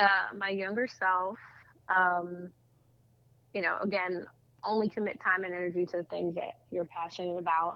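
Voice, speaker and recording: Speaking with an American accent, a woman at medium pitch uses monotone, flat intonation at a moderate pace with long, frequent pauses. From South Jersey, US. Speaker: public relations agency owner. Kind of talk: interview conversation.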